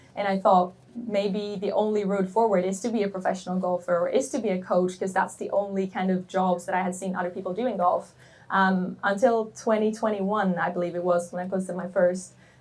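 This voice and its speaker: At a fairly quick pace, a woman with a Swedish accent talks at a medium pitch in a monotone, flat intonation. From Sweden. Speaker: golf content creator. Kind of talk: panel Q&A.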